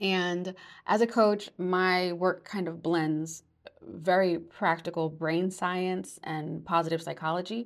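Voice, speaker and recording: On a very clean recording with a silent background, a woman with an American accent speaks very slowly, with fairly low pitch and fairly even intonation. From New York. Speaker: podcast host and life coach. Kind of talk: solo podcast monologue.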